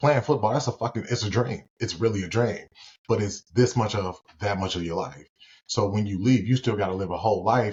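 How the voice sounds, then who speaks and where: Somewhat breathy, a man with an American accent talks at a fairly quick pace with ordinary pitch variation. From Gary, Indiana, US Midwest. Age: 30s. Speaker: former pro football player, credit repair specialist. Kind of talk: casual podcast interview. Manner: animated.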